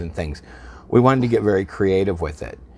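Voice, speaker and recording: A man with an American accent, his fairly low pitch moving in very wide swings. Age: 60s. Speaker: bar and restaurant owner. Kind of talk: casual interview. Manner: halting.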